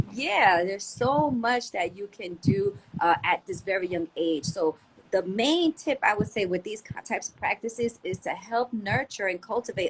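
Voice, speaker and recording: A woman with a normal speaking voice talks at a moderate pace, her intonation lively and her loudness swinging widely. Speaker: homeschool teacher and yoga school founder. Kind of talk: podcast interview.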